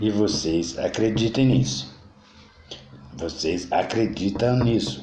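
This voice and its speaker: A man talks very slowly, with long, frequent pauses and a fairly low pitch that swings very widely. Audible room echo and noticeable background noise fill the recording. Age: 60s. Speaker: political commentator. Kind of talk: political monologue. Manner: halting.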